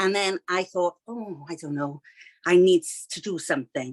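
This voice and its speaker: A woman speaks at a medium pitch with a Welsh accent. The sound is dry and close, without echo. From Wales. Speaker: children's author, retired teacher. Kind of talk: interview. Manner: hesitant, many fillers.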